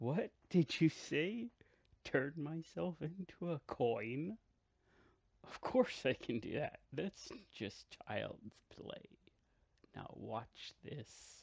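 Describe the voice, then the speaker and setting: A man puts on a character voice at a fairly high pitch. He goes very slowly, with long, frequent pauses. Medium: machinima.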